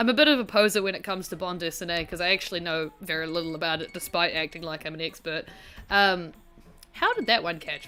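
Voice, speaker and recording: A very fast woman's voice, fairly low in pitch, with ordinary pitch variation, big swings in loudness and music in the background. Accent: strong New Zealand. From rural New Zealand. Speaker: gaming streamer. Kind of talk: casual gameplay livestream commentary. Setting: livestream.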